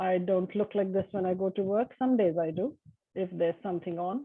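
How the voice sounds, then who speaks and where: Her pitch sits in the medium range. The woman's intonation stays fairly even. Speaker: university lecturer. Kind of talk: panel discussion.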